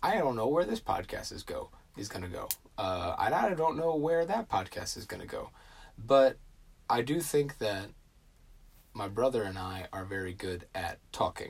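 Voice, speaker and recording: A man at a medium pitch, somewhat breathy, with very wide pitch swings, big swings in loudness, a moderate pace and long, frequent pauses, in a very clean recording with a silent background. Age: 20s. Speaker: podcast host. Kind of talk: casual solo talk. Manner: hesitant, many fillers.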